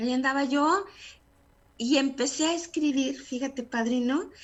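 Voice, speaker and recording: A woman talks at a fairly slow pace with a high pitch. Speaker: radio announcer and journalist. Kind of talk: interview answer.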